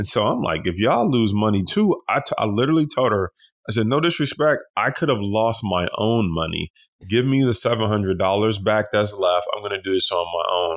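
Here is a plain, everyday voice: a man with an American accent at a fairly low pitch. He speaks at a fairly quick pace with ordinary pitch variation. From Detroit. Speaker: stock trader and investor. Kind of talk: interview.

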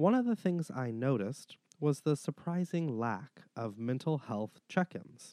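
A man speaks at a moderate pace with lively intonation. His tone is dark and mellow, and the sound is dry and close with no echo. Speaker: podcast host. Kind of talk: solo podcast monologue.

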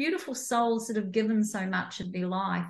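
With a New Zealand accent, a woman speaks at a fairly high pitch and sounds somewhat breathy. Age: 60s. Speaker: entrepreneur and coach. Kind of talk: interview conversation.

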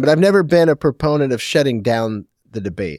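A man talks at a fairly quick pace, his fairly high pitch moving in very wide swings. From Portland. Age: 40s. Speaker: brewery owner. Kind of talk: casual chat.

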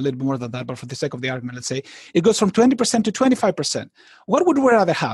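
Male voice with a non-native accent, high pitch and very wide pitch swings, in a dry, close sound with no echo. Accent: foreign-accented English. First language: not English. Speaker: poker author and educator. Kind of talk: interview. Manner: halting.

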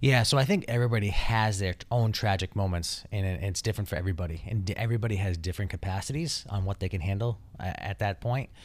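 A man's somewhat breathy, fairly low voice in an American accent, very fast with hardly any pauses and ordinary pitch variation, on a very clean recording with a silent background. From Taunton, Massachusetts. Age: 30s. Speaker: plumbing business owner and house flipper. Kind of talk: casual interview chat.

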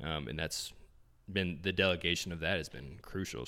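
In a very clean recording with a silent background, a man with an American accent speaks at a fairly quick pace, his very deep, low voice bright and sharp in tone, with vocal fry and ordinary pitch variation. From small-town Indiana, US Midwest. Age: 20s. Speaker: fitness magazine cofounder, entrepreneur. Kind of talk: casual interview chat. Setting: in-person in an Airbnb.

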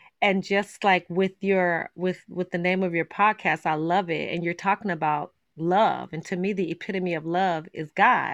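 A woman's fairly low voice at a moderate pace, flat and monotone in intonation, against a quiet background. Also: hardly any pauses. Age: 40s. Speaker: author sharing personal story. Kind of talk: personal testimony in interview.

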